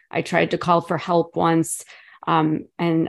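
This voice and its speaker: The speaker is a woman, talking at a moderate pace. Behind her, the background stays quiet. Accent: American. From Chicago. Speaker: author and abuse survivor. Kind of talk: interview testimony.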